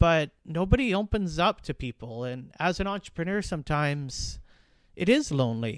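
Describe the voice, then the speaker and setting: A man with a Western Canadian accent speaks at a moderate pace in a fairly high voice, his pitch swinging very widely and his loudness rising and falling sharply. The recording is very clean with a silent background, and the sound is dry and close with no echo. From British Columbia, Canada. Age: 30s. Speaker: podcast host, small business owner. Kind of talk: casual monologue.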